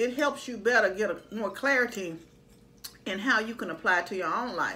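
At a moderate pace, a woman talks in a bright, sharp tone. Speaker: vlogger. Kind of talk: casual vlog chat. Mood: calm, reflective. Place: home room. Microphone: phone near.

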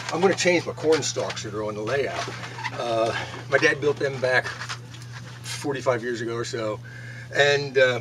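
A man talks at a moderate pace with ordinary pitch variation. Noticeable background noise runs underneath. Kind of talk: casual vlog chat. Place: shop. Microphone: camera far.

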